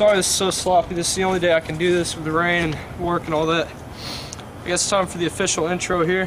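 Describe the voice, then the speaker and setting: A man with a high-pitched voice speaks in a monotone, flat intonation over noticeable background noise. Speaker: amateur ninja warrior athlete. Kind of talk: casual talk to camera, contest entry video. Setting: outdoors, rainy.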